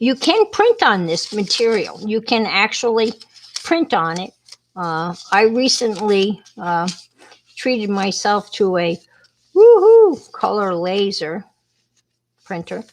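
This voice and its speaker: With an American accent, the speaker goes at a very slow pace with long, frequent pauses and ordinary pitch variation. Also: woman, medium pitch for a woman. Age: 70s. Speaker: craft livestream host. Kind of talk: craft tutorial livestream. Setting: livestream. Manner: casual, chatty.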